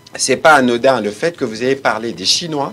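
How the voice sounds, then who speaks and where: There is music underneath. Over it, a man speaks at a middling speed. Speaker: government official. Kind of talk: press briefing.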